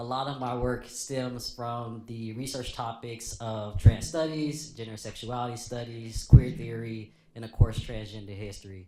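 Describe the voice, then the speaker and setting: With an American accent and a plain, everyday voice, a man talks at a medium pitch and moderate pace with fairly even intonation, hardly any pauses and big swings in loudness. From Cleveland, Ohio. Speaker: educator and podcaster, panelist. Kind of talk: panel introduction. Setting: panel with live audience.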